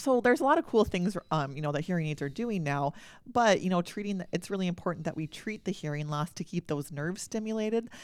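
A woman's fairly low voice in an Upper Midwest accent, very fast, with ordinary pitch variation, on a very clean recording with a silent background. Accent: Upper Midwest American. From North Dakota, small town. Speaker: audiologist. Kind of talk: interview.

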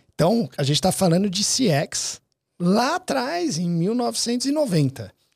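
A man is speaking. His pitch swings very widely. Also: very clean recording, silent background. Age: 30s. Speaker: dental marketing business owner. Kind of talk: casual interview.

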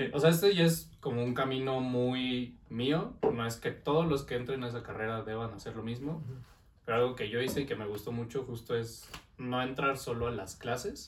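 There is audible room echo around a man's voice. He talks at a moderate pace and a medium pitch. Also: ordinary pitch variation. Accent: Mexico City. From Mexico City. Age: 20s. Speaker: business administration graduate. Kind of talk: casual chat.

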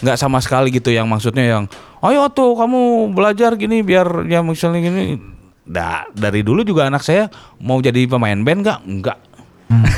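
A man of medium pitch at a moderate pace, with very wide pitch swings and very even loudness. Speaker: metal musician. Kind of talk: casual interview chat.

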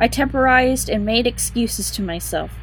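At a moderate pace, a woman talks while music plays behind her. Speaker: audiobook narrator. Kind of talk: dramatic narration. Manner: tense, hushed, suspenseful, building dread.

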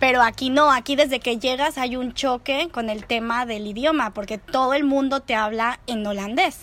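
At a moderate pace, a woman with a Mexican accent speaks in a high pitch with ordinary pitch variation. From Mexico. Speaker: podcast host. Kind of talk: casual chat. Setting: recording over a beer with a friend.

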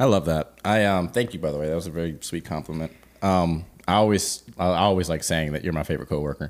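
A man speaks very fast in a very deep, low voice, with ordinary pitch variation and a playful, animated tone. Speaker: podcast co-host, singer-songwriter. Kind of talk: casual chat, Q&A episode. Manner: playful, animated, joking.

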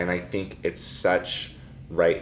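The delivery moves at a moderate pace. Room echo can be heard throughout. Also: man. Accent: American. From US Pacific Northwest, Seattle. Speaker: documentary filmmaker. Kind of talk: interview.

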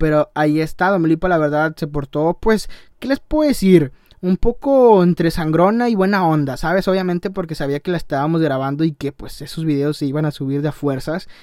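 A man talks in an animated tone at a fairly quick pace and a fairly high pitch. His pitch varies in an ordinary way, and the sound is dry and close with no echo. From Tamaulipas, Mexico. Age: young. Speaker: podcaster and YouTuber. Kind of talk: casual monologue.

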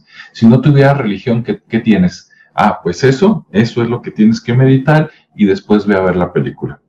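A man's somewhat breathy voice has a dark, mellow tone and very wide pitch swings. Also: medium pitch for a man, moderate pace. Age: 50s. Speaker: video commentator. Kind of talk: casual monologue. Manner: conversational with many fillers.

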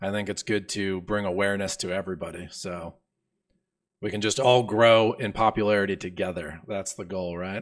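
A man speaks in a plain, everyday voice, fairly low in pitch, at a moderate pace with fairly even intonation. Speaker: podcast host, programming educator. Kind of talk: casual technical interview. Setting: live-streamed video call.

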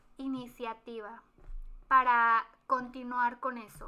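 This woman has a high pitch and a bright, sharp tone. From Mexico, Guanajuato. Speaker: podcast co-host. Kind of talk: casual chat.

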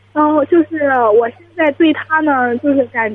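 Her pitch moves with ordinary variation. The woman's voice sits high. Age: 20s. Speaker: university student. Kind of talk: phone-in advice call. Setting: phone call. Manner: quiet.

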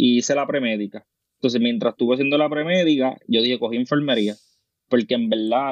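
This man has a medium-pitched voice. He talks with a Puerto Rican accent. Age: 20s. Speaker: nurse and teacher. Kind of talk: casual chat.

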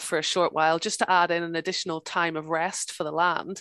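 Over a quiet background, a woman with a Northern Irish accent speaks at a very fast pace and a fairly low pitch, the sound dry and close with no echo. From Northern Ireland, near Belfast. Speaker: farmer and author. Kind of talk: interview. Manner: hesitant, with fillers and repeats.

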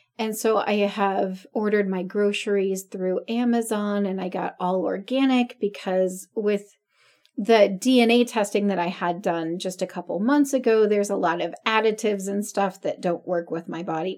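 With a normal speaking voice, a woman talks at a moderate pace in a medium pitch with ordinary pitch variation. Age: 40s. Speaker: podcast co-host. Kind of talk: casual chat.

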